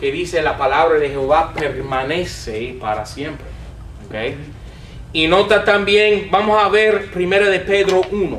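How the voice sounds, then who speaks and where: Amid noticeable background noise and audible room echo, a man speaks slowly with lively intonation. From United States. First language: English (speaking Spanish). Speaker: Bible teacher. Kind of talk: lecture.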